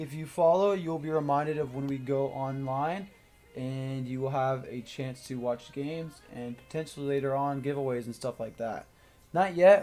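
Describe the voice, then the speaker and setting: With music in the background, this man's fairly high voice moves at a moderate pace. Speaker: roundnet match commentator. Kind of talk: live commentary. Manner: casual, chatty.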